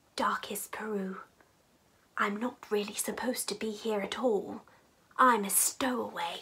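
A woman's put-on character voice, medium in pitch and moderate in pace, over light background noise. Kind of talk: children's story reading. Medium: read story. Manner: polite, earnest. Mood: earnest.

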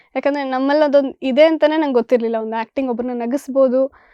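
A woman with a high pitch keeps her intonation fairly even. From Bangalore, Karnataka (family from Kodagu). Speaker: actress. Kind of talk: interview.

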